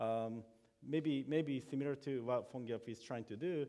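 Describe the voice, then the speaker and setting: A man is speaking. He has a Japanese accent. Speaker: software developer. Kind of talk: conference talk. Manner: halting, many fillers and repetitions.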